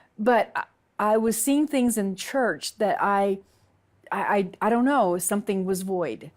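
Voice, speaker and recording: A woman with a Southern US accent, medium pitch, ordinary pitch variation and a fairly slow pace. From US South, Alabama. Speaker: convert sharing her story. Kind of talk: testimony. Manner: halting.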